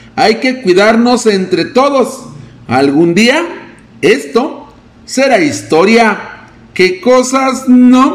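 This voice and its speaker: Over noticeable background noise, a man with an extremely high pitch talks at a very slow pace with lively intonation. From Mexico, Río Verde. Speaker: news reporter. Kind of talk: news reading.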